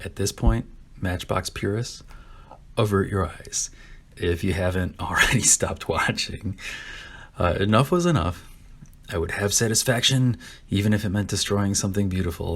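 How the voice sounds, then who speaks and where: Speaking at a moderate pace, a man uses a fairly low pitch. His voice is somewhat breathy. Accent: American. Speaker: diecast car customizer. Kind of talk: casual hobby build narration.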